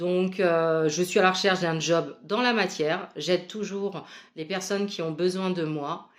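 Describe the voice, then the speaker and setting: Fairly slow pace and ordinary pitch variation from a woman. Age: 40s. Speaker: spiritual medium. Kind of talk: casual vlog monologue.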